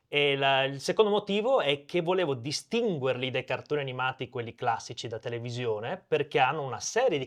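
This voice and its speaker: In a Venetian accent, the speaker moves at a moderate pace with lively intonation over a quiet background. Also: man. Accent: Venetian regional cadence. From Veneto, Italy (Portogruaro). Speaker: animator and cartoon creator. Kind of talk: interview conversation.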